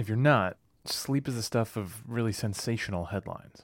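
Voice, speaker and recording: A man in an ordinary speaking voice, medium in pitch and fairly slow in pace, in a very clean recording with a silent background. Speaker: podcast host and producer. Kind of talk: scripted narration.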